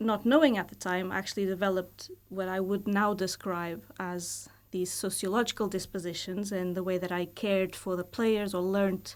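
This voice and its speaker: The recording is very clean, with a silent background. A woman with a Portuguese accent speaks at a fairly slow pace, her medium pitch held in fairly even intonation. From Portugal. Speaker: university lecturer and volleyball coach. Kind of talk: podcast interview. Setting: studio. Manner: hesitant, many fillers.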